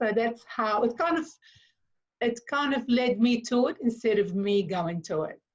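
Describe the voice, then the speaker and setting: A woman with a non-native accent talks at a moderate pace in a fairly high pitch. Her intonation is lively. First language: not English. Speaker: consciousness facilitator. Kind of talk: interview. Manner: hesitant, many fillers.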